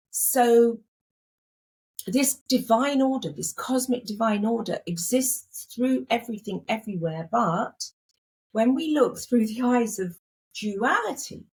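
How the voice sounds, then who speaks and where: A woman's fairly high, somewhat breathy voice, fairly slow with long, frequent pauses and ordinary pitch variation. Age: 60s. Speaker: spiritual teacher. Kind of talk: interview.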